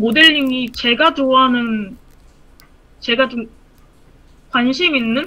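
Her voice is raised and projected. The woman speaks at a high pitch. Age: 30s. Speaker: aspiring 3D modeler. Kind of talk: casual advice conversation. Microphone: video call.

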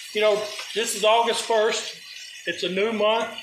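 A man speaks in a high voice at a fairly slow pace. Noticeable background noise runs underneath. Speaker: home cooking show host. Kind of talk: casual vlog chat. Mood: warm, hopeful. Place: kitchen. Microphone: phone near.

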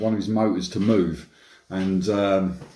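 A man's fairly low voice against a quiet background, with audible room echo. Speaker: e-bike vlogger. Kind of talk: casual vlog chat. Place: kitchen. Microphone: phone near.

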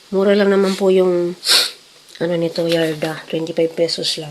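Noticeable background noise sits behind a woman speaking at a fairly slow pace. Her fairly low voice stays monotone and flat. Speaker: cooking vlogger. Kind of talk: casual vlog narration.

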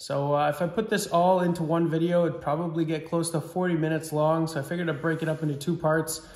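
Over a quiet background with audible room echo, a man speaks at a very fast pace with hardly any pauses, in a fairly high pitch, monotone, flat intonation and very even loudness. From Saskatchewan, Canada. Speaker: farm vlogger. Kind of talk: casual vlog narration. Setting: outdoors on a farm. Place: home room. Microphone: phone near.

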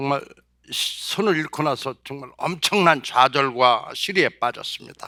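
The delivery is very slow, with a bright, sharp tone and ordinary pitch variation. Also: man, fairly high pitch for a man. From South Chungcheong, Korea. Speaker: motivational speaker, former marketing executive. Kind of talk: motivational talk. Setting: stage with audience.

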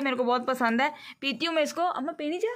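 A woman speaks in a high, bright, sharp voice. Her pace is fast.

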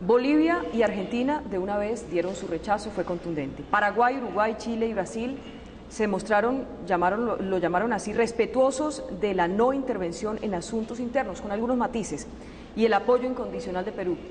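Over light background noise, a woman speaks at a moderate pace in a fairly high pitch with ordinary pitch variation. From Colombia. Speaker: journalist. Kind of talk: interview. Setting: presidential palace. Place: hall.

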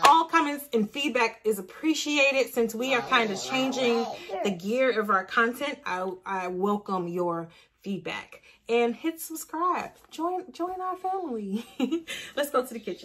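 A woman speaks in a high pitch. Her voice swings very widely up and down. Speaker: parent vlogger. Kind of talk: casual vlog chat. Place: home room. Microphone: phone near.

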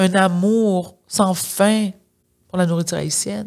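A woman speaks at a very slow pace with a passionate tone. Her intonation stays fairly even. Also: quiet background. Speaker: podcast host. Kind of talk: careful, precise pronunciation. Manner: emphatic, passionate. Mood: warm, enthusiastic. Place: studio. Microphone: studio mic.

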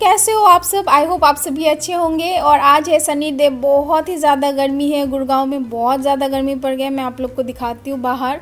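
With hardly any pauses, a woman speaks in a high voice over faint background music. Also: ordinary pitch variation, moderate pace. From Assam, India. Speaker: vlogger. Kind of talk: casual vlog talk to camera. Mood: warm, friendly. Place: home room. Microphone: phone near.

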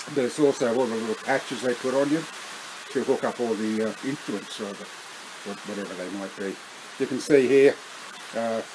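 A man's fairly quick speech, with ordinary pitch variation, sits against noticeable background noise. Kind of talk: casual vlog chat. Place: home room. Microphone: webcam.

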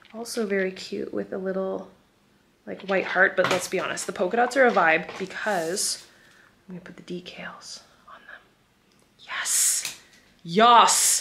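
A woman talks at a fairly slow pace, with long, frequent pauses. Noticeable background noise is present. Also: fairly even intonation. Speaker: lifestyle vlogger. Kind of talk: casual vlog chat. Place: home room. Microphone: phone near.

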